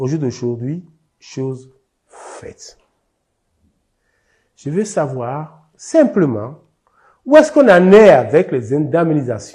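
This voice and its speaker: Speaking very slowly with long, frequent pauses, a man uses a fairly high pitch, lively intonation and a dark, mellow, somewhat breathy tone. His loudness swings widely against a quiet background. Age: 70s. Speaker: expropriated landowner. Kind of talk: testimony.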